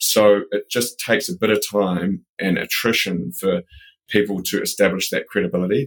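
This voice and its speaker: A man speaks with a New Zealand accent. The sound is dry and close, with no echo. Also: moderate pace. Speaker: building products company president. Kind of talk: interview.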